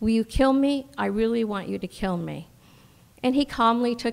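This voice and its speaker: On a very clean recording with a silent background, a woman speaks at a moderate pace with ordinary pitch variation. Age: 60s. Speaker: storyteller. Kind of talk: live storytelling. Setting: stage with audience. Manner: halting.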